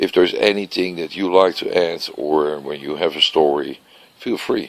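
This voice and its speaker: Noticeable background noise sits behind a man speaking at a moderate pace with a Dutch accent. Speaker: vlogger. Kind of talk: casual monologue vlog. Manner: unscripted, searching for words.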